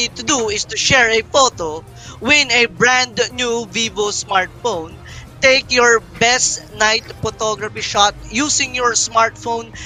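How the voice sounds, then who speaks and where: Over music in the background, the speech moves at a very slow pace. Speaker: esports shoutcaster. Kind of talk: esports shoutcasting / event presenting.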